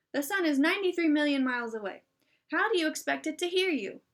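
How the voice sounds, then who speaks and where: A woman's squeaky, high-pitched put-on character voice at a very fast pace. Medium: read story.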